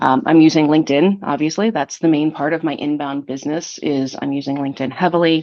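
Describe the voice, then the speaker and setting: A woman talks at a very fast pace with hardly any pauses. Her pitch is very deep and low. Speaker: fractional marketing executive. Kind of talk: podcast interview. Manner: animated.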